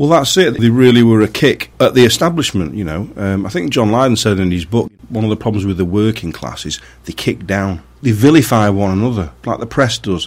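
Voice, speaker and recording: The speaker talks at a fairly quick pace with a Manchester accent. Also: man, fairly low pitch for a man, lively intonation. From Greater Manchester, England (Marple). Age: 40s. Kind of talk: testimony. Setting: radio studio.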